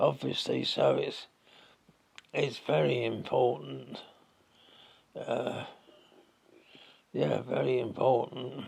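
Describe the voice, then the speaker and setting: Very slow speech in a London accent. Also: man. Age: 90s. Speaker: retired gas works clerk. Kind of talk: interview answer.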